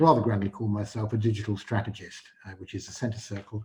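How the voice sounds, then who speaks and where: This man speaks with a dark, mellow tone, somewhat breathy, in a Yorkshire accent. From northern England, Yorkshire. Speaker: AI consultant, event speaker. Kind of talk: presentation talk. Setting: virtual event, online presentation. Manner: halting, many filler words.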